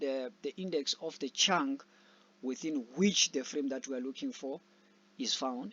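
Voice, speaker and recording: His pitch sits fairly high. The speaker is a man, with ordinary pitch variation. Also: fairly slow pace. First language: not English. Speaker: programming tutor. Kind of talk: tutorial. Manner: halting.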